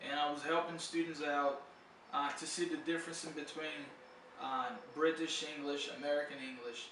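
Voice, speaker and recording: Over noticeable background noise and audible room echo, a man with a fairly high pitch talks at a moderate pace. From Brazil. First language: Portuguese. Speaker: English tutor. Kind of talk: casual video talk. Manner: casual, hesitant with fillers.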